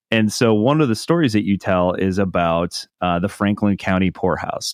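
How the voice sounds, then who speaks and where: With a Midwestern American accent, a man speaks at a moderate pace and fairly low pitch, with ordinary pitch variation, very even loudness, hardly any pauses, and a dry, close sound with no echo. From Ohio. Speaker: podcast host. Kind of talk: interview.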